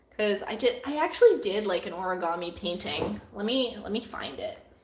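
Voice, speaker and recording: A voice with a Canadian accent moves at a moderate pace amid audible room echo and noticeable background noise. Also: woman. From Canada. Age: 20s. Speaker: artist. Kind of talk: live Q&A stream. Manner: casual, halting with fillers.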